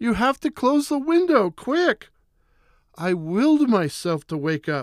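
A man speaks at a fairly slow pace with very wide swings in pitch. The recording is very clean and dry, close-miked with a silent background and no echo. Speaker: horror storyteller. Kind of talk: horror narration of a nightmare, first-person, in a hushed, spooky storytelling mode. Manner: slow, eerie, suspenseful, building dread; hushed and terrified, rising to frantic panic at the climax.

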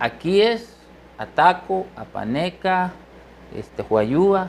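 A man talks with lively intonation and a high pitch. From eastern El Salvador. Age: 50s. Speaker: musician and doctor. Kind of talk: interview.

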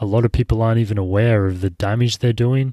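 Recorded dry and close with no echo, a man with an Australian accent speaks at a medium pitch with ordinary pitch variation. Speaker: podcast host. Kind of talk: solo podcast monologue. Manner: casual, many fillers.

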